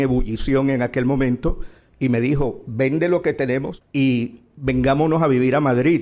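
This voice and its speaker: A man speaks at a moderate pace at a fairly high pitch with ordinary pitch variation, in a plain, everyday voice. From Colombia, Barranquilla (Caribbean coast). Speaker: journalist, opinion editor. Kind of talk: live panel conversation. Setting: stage with audience. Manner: calm, mild-spoken.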